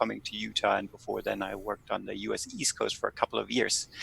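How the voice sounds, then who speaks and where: In a German accent, a man talks at a fairly quick pace, with a dry, close sound and no echo. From Germany. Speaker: political scientist. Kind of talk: podcast interview.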